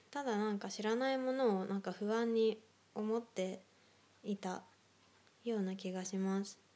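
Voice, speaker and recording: A woman's dark, mellow voice, fairly even in intonation, with long, frequent pauses. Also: fairly high pitch for a woman, moderate pace. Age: 20s. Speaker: solo podcaster. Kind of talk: casual monologue.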